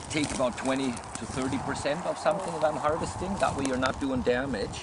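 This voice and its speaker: Loud noise fills the background while a man speaks fairly quickly in a dry sound with no echo. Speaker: herbalist guide. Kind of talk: casual outdoor teaching talk. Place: forest. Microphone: camera far.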